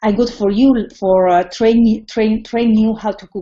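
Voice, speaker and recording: Speaking at a fairly slow pace, a woman with a Spanish accent keeps a medium pitch and fairly even intonation. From Spain. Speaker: cooking teacher. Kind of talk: tutorial. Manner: halting.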